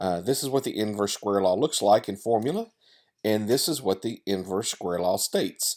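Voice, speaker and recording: A man with a Tennessee accent, fairly low pitch, moderate pace and ordinary pitch variation, on a very clean recording with a silent background. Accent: Southern US (Tennessee). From US South, Tennessee. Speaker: wedding photographer. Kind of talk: tutorial. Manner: casual, many fillers.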